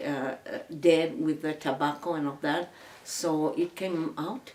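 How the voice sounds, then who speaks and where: A fairly low-pitched woman with ordinary pitch variation, amid noticeable background noise. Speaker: oral history interviewee. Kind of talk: interview answer. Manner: hesitant, halting.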